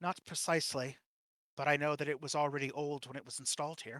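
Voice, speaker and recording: A man puts on a character voice at a fairly high pitch. He rattles along at a very fast pace. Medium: actual play. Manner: talkative, matter-of-fact.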